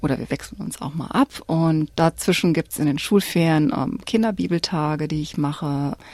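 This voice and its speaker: Her pitch very deep and low, a woman speaks at a moderate pace with ordinary pitch variation and hardly any pauses. The sound is dry and close, with no echo. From Cologne, Germany. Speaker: church community educator. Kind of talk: radio interview. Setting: studio. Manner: hesitant with filler sounds.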